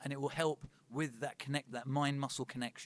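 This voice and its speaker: The sound is dry and close with no echo. A man speaks fairly quickly in a fairly high, flat monotone. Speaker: personal trainer giving a talk. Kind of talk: presentation to a live audience. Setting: talk with live audience. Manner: fast.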